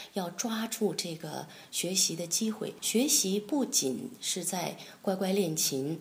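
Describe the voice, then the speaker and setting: A woman speaks in a fairly low voice that is somewhat breathy, with ordinary pitch variation. The room gives off an audible echo. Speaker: concert pianist and piano professor. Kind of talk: interview. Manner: hesitant, many fillers.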